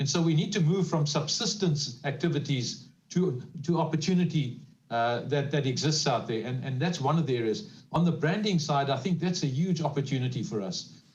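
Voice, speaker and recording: Audible room echo surrounds a man's somewhat breathy voice at a fairly high pitch. He speaks at a fairly quick pace with ordinary pitch variation. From South Africa. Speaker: panelist on social economy. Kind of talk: panel discussion.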